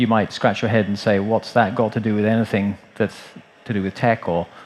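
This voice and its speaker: The man's voice sits at a medium pitch. He talks at a fairly quick pace. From Texas. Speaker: healthcare entrepreneur and investor. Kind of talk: conference panel talk. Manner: hesitant, many fillers.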